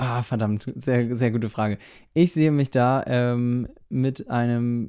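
A man's dark, mellow voice at a very slow pace, in a very clean recording with a silent background. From northern Germany, near Hamburg. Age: 20s. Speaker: fashion blogger and influencer. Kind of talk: casual interview.

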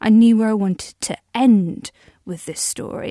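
With a dark, mellow tone, a woman speaks at a fairly slow pace in a dry, close sound with no echo. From Wales. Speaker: podcaster, audio drama creator. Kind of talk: scripted monologue diary. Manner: light laughter.

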